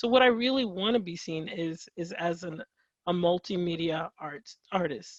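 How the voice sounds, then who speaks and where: Speaking at a moderate pace, a woman with a fairly low pitch uses lively intonation and big swings in loudness. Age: young. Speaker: artist and writer. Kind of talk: interview. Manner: halting, many fillers.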